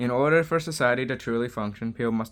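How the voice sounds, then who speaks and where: Here a man speaks at a moderate pace. He has a plain, everyday voice with a medium pitch. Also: very clean recording, silent background. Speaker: opinion vlogger. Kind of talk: solo opinion monologue.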